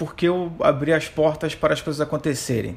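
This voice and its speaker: This is a normal speaking voice. It moves at a moderate pace. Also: man. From Rio de Janeiro, Brazil. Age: 30s. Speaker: economist. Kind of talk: interview.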